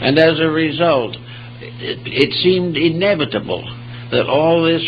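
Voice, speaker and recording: Against noticeable background noise, a man talks at a fairly slow pace in a fairly high pitch. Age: 80s+. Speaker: philosophy lecturer. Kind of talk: public lecture.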